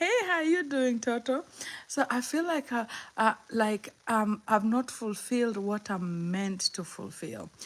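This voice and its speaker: A woman with a Kenyan accent speaks at a fairly slow pace. Her pitch is fairly high and her intonation lively. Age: 50s. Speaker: motivational livestreamer. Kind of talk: livestream chat. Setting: live stream. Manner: halting, repeats words.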